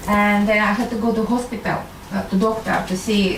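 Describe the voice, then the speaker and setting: A woman in a Russian accent at a fairly high pitch, moderate pace and fairly even intonation, with noticeable background noise and audible room echo. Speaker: medical doctor and intuitive healer. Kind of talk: talk to an audience. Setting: live audience. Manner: hesitant, many fillers.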